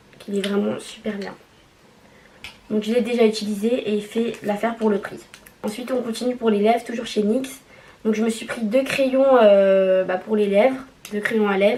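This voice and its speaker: Noticeable background noise sits behind a woman with a fairly high pitch. She speaks in a flat monotone, with long, frequent pauses. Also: moderate pace. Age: 20s. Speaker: nurse. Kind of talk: casual makeup haul talk to camera.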